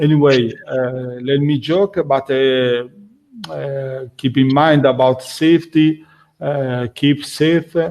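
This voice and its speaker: Fairly high in pitch with fairly even intonation, a man speaks at a very slow pace. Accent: non-native. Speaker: functional safety instructor. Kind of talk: webinar closing remarks. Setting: online webinar. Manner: halting, many fillers.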